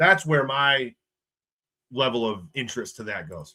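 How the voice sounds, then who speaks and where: A man talks in an animated, bright and sharp tone. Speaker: sports YouTuber. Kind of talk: live stream chat reading viewer comments. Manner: animated, casual.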